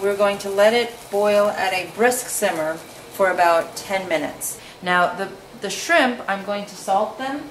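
A woman speaks at a fairly slow pace with ordinary pitch variation and big swings in loudness. The recording has audible room echo and light background noise. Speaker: home cook host. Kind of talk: tutorial. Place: kitchen.

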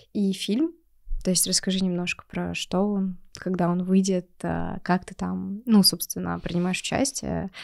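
Quiet background, with a woman speaking at a fairly slow pace. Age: 20s. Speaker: podcast host and marketer; podcast host. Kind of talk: podcast interview. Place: studio. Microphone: studio mic.

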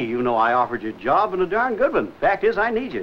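A man with very wide pitch swings, light background noise behind him. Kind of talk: scripted drama dialogue. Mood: earnest, persuasive. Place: garage. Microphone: old recording.

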